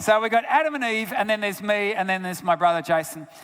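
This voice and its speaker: This man talks with an Australian accent at a high pitch. His tone is animated. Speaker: health researcher and guest speaker. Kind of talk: sermon-style talk.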